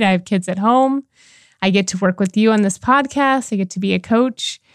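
In a very clean recording with a silent background, a woman speaks in a normal speaking voice at medium pitch with ordinary pitch variation. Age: 40s. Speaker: life and relationship coach, podcast co-host. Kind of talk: casual chat.

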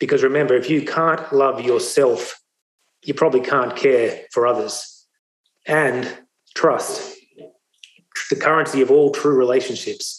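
Pausing long and often, a man with an Australian accent speaks at a fairly slow pace and very even loudness. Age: 40s. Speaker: speaker. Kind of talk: testimony.

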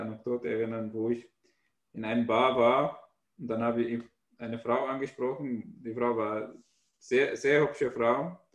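Speaking at a moderate pace, a man of medium pitch has an Arabic accent. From Syria (Damascus). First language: Arabic (speaking German). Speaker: author and stand-up comedian. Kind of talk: casual chat.

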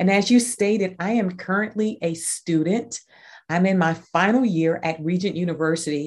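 A woman with a normal speaking voice talks at a moderate pace, her medium pitch showing ordinary variation. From US, Army brat, moved often; North Carolina born. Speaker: leadership consultant and nonprofit director. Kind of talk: casual interview.

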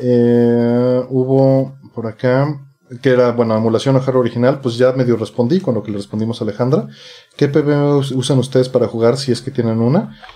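This man uses a normal speaking voice, keeping a medium pitch, fairly even intonation and a moderate pace. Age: 40s. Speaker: retro gaming enthusiast. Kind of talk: casual chat.

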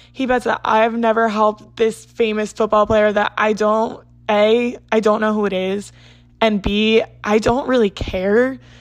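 Fairly high for a woman, her voice moves at a fairly slow pace in a monotone, flat intonation. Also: very clean recording, silent background. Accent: American. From US Northeast, South Jersey. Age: 20s. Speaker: podcast host. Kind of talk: casual solo chat. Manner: chatty, rambling.

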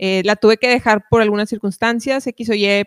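Speaking fairly quickly, a woman with an unremarkable speaking voice of medium pitch is heard in a very clean recording with a silent background and a dry, close sound with no echo. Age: 20s. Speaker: rock musician. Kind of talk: casual chat.

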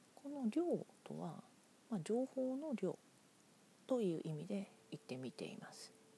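The voice has a dark, mellow tone, is somewhat breathy and moves at a fairly slow pace with long, frequent pauses. Its loudness swings a lot and its pitch swings very widely. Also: woman, medium pitch for a woman. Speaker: podcaster. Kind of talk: solo monologue.

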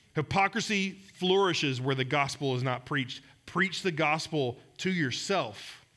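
A man with a fairly high pitch speaks in a bright, sharp tone with lively intonation at a fairly slow pace. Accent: Southern US. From Georgia, US South. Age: 40s. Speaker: pastor. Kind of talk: sermon. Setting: church.

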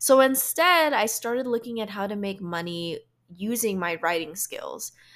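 Very clean recording, silent background: a woman with an American accent and a plain, everyday voice speaks at a fairly high pitch. Her intonation is lively and her pace fairly slow. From Philippines, then US. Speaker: podcast host, professional speaker. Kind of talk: solo podcast monologue.

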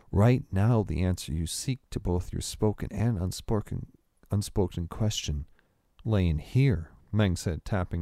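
What you hear is plain reading aloud.

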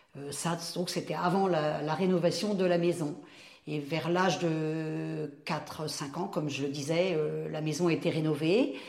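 With noticeable background noise and audible room echo, a woman speaks at a very slow pace in a very deep, low pitch with fairly even intonation. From France, Mayenne (rural west). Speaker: retired primary school teacher. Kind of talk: life story interview.

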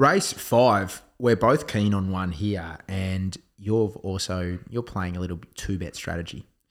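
A man speaks at a fairly slow pace in a very deep, low voice with ordinary pitch variation and an Australian accent. The recording is very clean, with a silent background. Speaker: horse racing tipster podcast host. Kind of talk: casual chat.

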